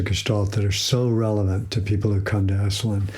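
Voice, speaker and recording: In a room with audible echo, a man with a fairly low pitch speaks very fast in a somewhat breathy voice. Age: 70s. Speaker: psychologist and institute president. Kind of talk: interview. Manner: halting, with many fillers.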